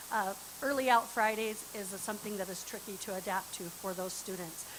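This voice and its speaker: Against noticeable background noise, a woman talks at a fairly quick pace with medium pitch and ordinary pitch variation. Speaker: parent advisor giving public comment. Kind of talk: public comment at school board meeting. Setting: board meeting room with microphone, streamed online. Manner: loud.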